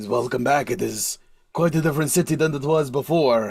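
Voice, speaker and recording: Someone puts on a raspy character voice. The delivery comes at a fairly quick pace. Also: man, fairly high pitch for a man. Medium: actual play. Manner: chatty, laughing, slightly broken grammar.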